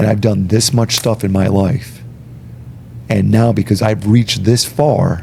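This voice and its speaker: The speech comes at a fairly slow pace with very even loudness over noticeable background noise. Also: man, fairly low pitch for a man. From Long Island, New York (born Puerto Rico). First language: Spanish. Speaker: airline pilot and former state trooper. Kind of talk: casual podcast interview. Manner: animated, emphatic.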